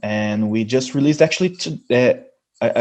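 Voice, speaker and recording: Speaking at a moderate pace with a Brazilian Portuguese accent, a man has a dark, mellow tone and ordinary pitch variation. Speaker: metal band musician. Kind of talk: interview. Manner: halting, many fillers and restarts.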